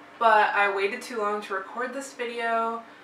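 Speaking at a fairly slow pace, a woman is recorded with audible room echo and light background noise. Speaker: vlogger. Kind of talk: casual vlog chat. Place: home room. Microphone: camera far.

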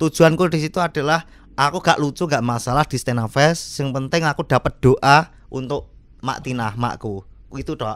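The speaker has a strong Javanese accent and an animated tone. The pace is moderate. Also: man. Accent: thick Javanese (medok). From Java, Indonesia. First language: Javanese (speaking Indonesian). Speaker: stand-up comedian. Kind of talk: casual chat. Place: studio. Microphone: studio mic.

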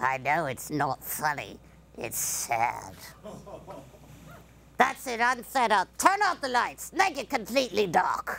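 Using a put-on character voice, a woman speaks at a fairly slow pace and fairly high pitch, with long, frequent pauses. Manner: cranky, insulting.

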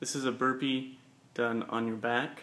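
Monotone, flat intonation at a fairly slow pace. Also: man. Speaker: fitness coach. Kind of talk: tutorial. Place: gym. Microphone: phone near.

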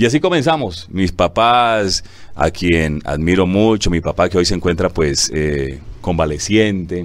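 A man at a very deep, low pitch, with very even loudness and a fairly slow pace. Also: ordinary pitch variation. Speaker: radio announcer and director of a local radio station. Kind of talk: interview answer telling personal life story. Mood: warm, grateful storytelling. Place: studio. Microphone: lapel.

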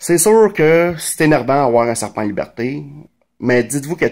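With a Montreal accent, a man speaks fairly quickly at a fairly high pitch, his intonation lively against a quiet background. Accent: Quebec French, Montreal. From Quebec, Montreal (Verdun); Quebec. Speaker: vlogger. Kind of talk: casual monologue commentary. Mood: sarcastic, indignant. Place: home room. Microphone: phone near.

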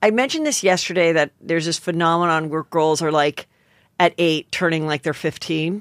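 The voice moves at a fairly quick pace, with dry sound with no echo and a quiet background. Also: woman, fairly low pitch for a woman. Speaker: comedian and podcast host; comedian, podcast host. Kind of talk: casual chat. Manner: animated. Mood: gossipy, joking. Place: studio. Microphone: studio mic.

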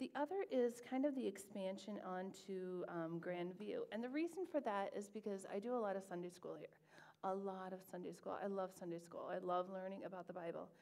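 A woman with an American accent at a medium pitch, dark and mellow in tone, fairly quick with hardly any pauses and ordinary pitch variation. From US Midwest (Dubuque, Iowa); Iowa. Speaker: teacher and church member; teacher. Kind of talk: interview. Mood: warm, enthusiastic. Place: church.

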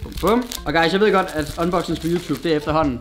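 Faint background music runs under a man speaking at a fairly quick pace. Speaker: vlogger. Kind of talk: casual unboxing vlog chat. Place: home room. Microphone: camera far.

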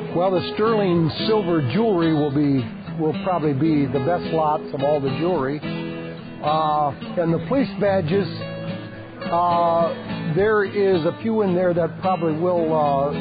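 A man with an American accent speaks at a fairly slow pace. Clear music plays in the background, and the sound is dry with no echo. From Michigan, USA. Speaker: auctioneer. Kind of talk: casual talk to camera, interview answer. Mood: relaxed, friendly. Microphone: lapel.

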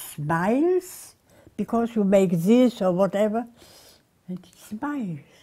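Very slow speech with very wide pitch swings plays over a quiet background. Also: woman. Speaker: interviewee. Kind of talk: interview answer. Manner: frail, very elderly accented voice. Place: home room. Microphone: lapel.

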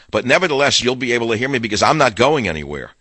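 Very fast male speech with a bright, sharp tone and ordinary pitch variation, dry with no echo over a quiet background. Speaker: radio talk show host. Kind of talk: talk radio monologue and ad read. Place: studio. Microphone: studio mic.

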